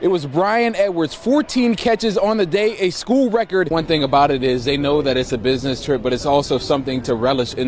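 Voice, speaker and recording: An upbeat, energetic man at a fairly quick pace with very wide pitch swings, over noticeable background noise. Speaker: TV sports anchor and reporter. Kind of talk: sports highlight anchor/reporter delivery. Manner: upbeat, energetic broadcast delivery.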